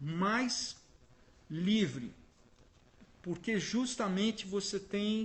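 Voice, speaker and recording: A high-pitched male voice, very slow in pace, with lively intonation. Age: 60s. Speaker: photographer. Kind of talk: interview.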